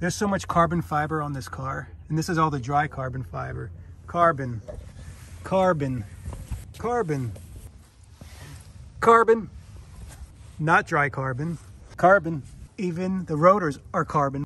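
Speaking at a fairly slow pace with long, frequent pauses, a man has a bright, sharp tone. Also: dry sound with no echo. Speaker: car vlogger. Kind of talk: casual vlog chat. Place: street.

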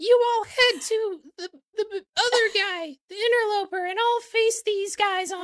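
In a put-on character voice with an extremely high pitch, the speaker goes at a fairly slow pace with hardly any pauses. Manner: heroic, bold.

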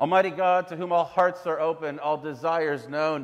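This man speaks at a moderate speed with a quiet background. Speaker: pastor leading worship. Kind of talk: liturgical prayer. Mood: solemn, measured. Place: church.

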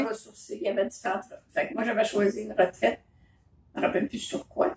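In a Quebec accent, a woman speaks in a room with audible echo and light background noise. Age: 70s. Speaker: mother telling memories. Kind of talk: casual conversation, telling memories. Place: home room. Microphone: phone near.

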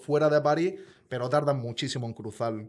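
A man is talking. His intonation remains fairly even throughout. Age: 30s. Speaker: truck driver and youtuber; youtuber. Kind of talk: casual chat, personal testimony. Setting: studio. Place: studio. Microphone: studio mic.

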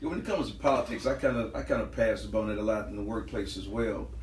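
With an American accent, a man talks at a very fast pace amid audible room echo and light background noise. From US South, Lake Charles, Louisiana; Louisiana. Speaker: podcast panelist. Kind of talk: casual chat. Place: home room. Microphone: camera far.

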